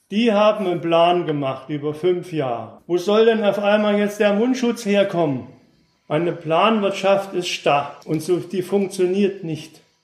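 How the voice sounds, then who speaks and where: A man speaks in a high voice with ordinary pitch variation, and the room echo is audible. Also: fairly slow pace. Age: 60s. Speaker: former East German dissident, contemporary witness. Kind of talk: explanatory lecture.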